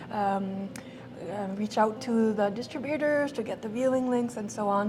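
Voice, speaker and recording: A woman speaks fairly slowly with a French accent, her fairly high voice held to a fairly even intonation. Audible room echo and noticeable background noise surround her. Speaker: film festival director. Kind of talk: interview. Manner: halting, many fillers.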